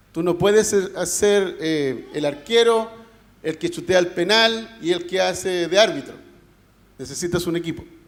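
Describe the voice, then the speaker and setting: Long, frequent pauses break up this fairly slow delivery, with ordinary pitch variation and audible room echo. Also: man, high pitch for a man. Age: 50s. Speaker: pastor. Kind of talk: sermon. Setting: church. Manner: animated.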